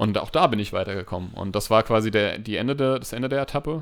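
A man's voice sits at medium pitch. He talks at a very fast pace. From Hesse, Hanau. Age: 30s. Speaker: podcast co-host, nursery teacher. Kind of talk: casual chat. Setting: home recording room.

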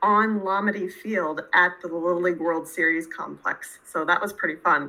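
In an American accent, a woman speaks at a medium pitch with ordinary pitch variation and a plain, everyday voice. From central Pennsylvania, US. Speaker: university lecturer. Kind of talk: interview.

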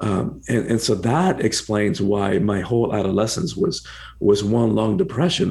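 A man with a Spanish accent speaks with vocal fry. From Cuba, then rural Georgia US. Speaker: author and personal empowerment coach. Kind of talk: interview. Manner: repetitive restarts.

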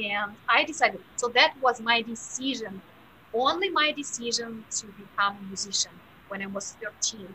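A woman speaks in a normal speaking voice at a moderate pace. Her pitch sits fairly high. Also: lively intonation. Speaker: piano teacher and pianist. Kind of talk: interview, conversational.

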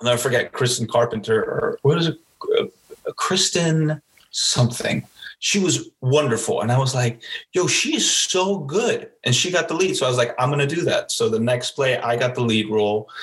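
Keeping his loudness very even, a man speaks at a moderate pace with an American accent. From Miami, Florida. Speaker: actor. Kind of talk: interview.

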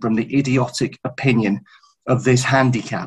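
With a British accent, a somewhat breathy man at a medium pitch talks at a moderate pace. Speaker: racing journalist. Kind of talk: casual chat.

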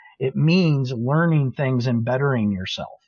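In a somewhat breathy voice, a man speaks at a moderate pace. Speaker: social media marketing director and industry speaker. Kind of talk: casual interview chat. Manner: rambling, talkative.

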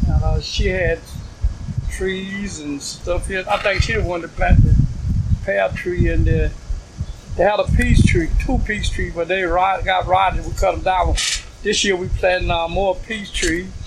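A man with an American accent at a fairly slow pace, long, frequent pauses, and noticeable background noise. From US South. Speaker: community garden founder. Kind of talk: oral history interview. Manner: halting.

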